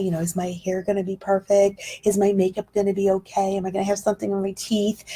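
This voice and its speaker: Somewhat breathy delivery with a dark, mellow tone. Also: woman. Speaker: direct sales trainer. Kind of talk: training talk on Facebook Live. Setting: livestream. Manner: fast.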